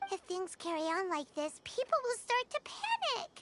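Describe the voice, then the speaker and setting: A put-on, squeaky character voice at an extremely high pitch and moderate pace. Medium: video game. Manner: excitable, chatty.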